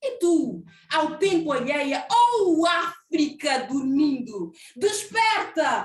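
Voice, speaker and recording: Her voice is extremely high and swings very widely in pitch. The woman speaks at a very slow pace. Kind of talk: poetry reading.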